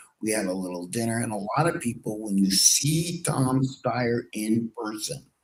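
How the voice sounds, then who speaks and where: A man with a plain, everyday voice, medium pitch and lively intonation, at a moderate pace with hardly any pauses. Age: 60s. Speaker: political talk show host. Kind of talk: casual political talk.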